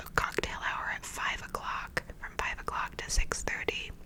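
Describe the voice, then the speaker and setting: Whispering in a relaxed tone with an American accent, over noticeable background noise. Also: woman. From New York / Los Angeles, American. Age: 30s. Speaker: actress and writer, ASMR creator. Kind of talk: whispered ASMR storytime, casual personal anecdote. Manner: whispered, soft, relaxed, chatty.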